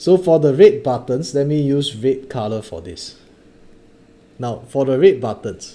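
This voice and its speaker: Speaking fairly slowly, a man has a dark, mellow tone, lively intonation and big swings in loudness. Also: medium pitch for a man. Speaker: maths tutor. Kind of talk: online lesson. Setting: Facebook live stream.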